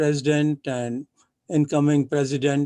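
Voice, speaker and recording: A man talks at a moderate pace with a fairly high pitch and a dark, mellow tone. His intonation is monotone and flat, and the sound is dry and close with no echo. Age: 80s+. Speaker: professor and event organizer. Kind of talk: formal thanks. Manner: formal.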